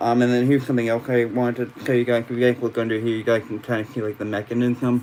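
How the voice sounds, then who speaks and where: Over noticeable background noise, a man speaks fairly quickly at a medium pitch in a monotone, flat delivery. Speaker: toy collector YouTuber. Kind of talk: live stream toy review. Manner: halting, many fillers and repeats.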